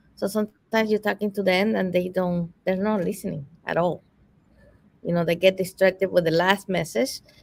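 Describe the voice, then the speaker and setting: With a non-native accent, a woman speaks at a medium pitch and a moderate pace, using ordinary pitch variation. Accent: foreign. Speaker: summit host. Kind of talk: live virtual interview Q&A.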